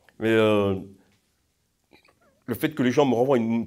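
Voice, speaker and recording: A man is speaking. His pitch is medium. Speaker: pilgrim. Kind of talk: testimony. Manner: halting.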